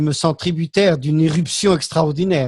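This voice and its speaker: A man talking at a fairly slow pace, with ordinary pitch variation, against a quiet background. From Algeria. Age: 60s. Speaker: political commentator. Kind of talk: panel discussion. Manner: hesitant.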